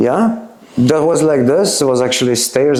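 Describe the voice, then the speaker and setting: A man speaks at a medium pitch and a moderate pace. Noticeable background noise and audible room echo surround him. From Czech Republic, Teplice (North Bohemia). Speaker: former punk, interview subject. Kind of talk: casual interview. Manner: halting, many fillers.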